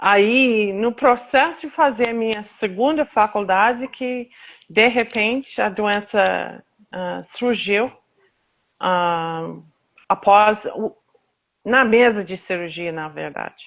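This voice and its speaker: In an American accent, a woman speaks very slowly at a fairly high pitch with ordinary pitch variation, long, frequent pauses and big swings in loudness. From United States. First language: English (speaking Portuguese). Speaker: patient advocate, association founder. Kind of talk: interview, personal testimony. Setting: live video stream. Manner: halting, with fillers.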